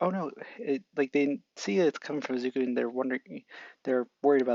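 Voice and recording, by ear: The background stays quiet. In it, someone reads aloud in a natural voice, with pitch varying in an ordinary way.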